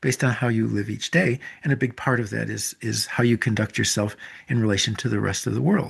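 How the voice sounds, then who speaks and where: This man has vocal fry and a medium pitch with ordinary variation. He speaks at a fairly quick pace against a quiet background. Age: 70s. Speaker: author and teacher of a Japanese self-reflection practice. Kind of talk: interview conversation. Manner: halting, with many fillers and restarts.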